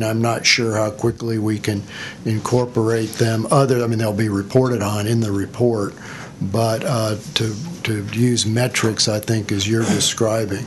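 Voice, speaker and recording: Noticeable background noise surrounds a man's voice. He speaks at a fairly slow pace with monotone, flat intonation. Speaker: agency staff official. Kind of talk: committee meeting. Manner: slow, halting.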